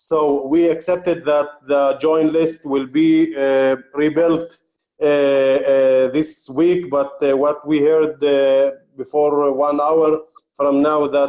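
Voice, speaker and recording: A man with an Arabic accent speaks at a very slow pace with a fairly high pitch. His tone is dark and mellow, and his intonation is flat and monotone. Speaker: journalist and commentator. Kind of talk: briefing talk. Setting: conference call. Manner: halting.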